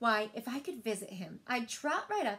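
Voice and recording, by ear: Natural-voiced reading aloud.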